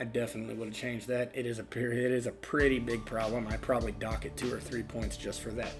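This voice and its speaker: With music in the background, a man talks at a very fast pace with hardly any pauses, using a medium pitch and ordinary pitch variation. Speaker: movie reviewer. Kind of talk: casual unscripted movie review to camera.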